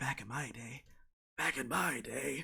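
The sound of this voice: Putting on a raspy character voice at a medium pitch, a man speaks fairly slowly.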